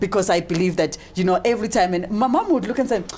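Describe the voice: At a fast pace, a woman speaks with a medium pitch, a slightly mellow tone and ordinary pitch variation.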